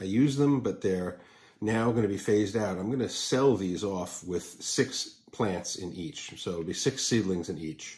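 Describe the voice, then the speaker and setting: A man's somewhat breathy, fairly low-pitched voice, with lively intonation at a fairly slow pace. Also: quiet background. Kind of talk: casual vlog chat. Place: home room. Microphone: phone near.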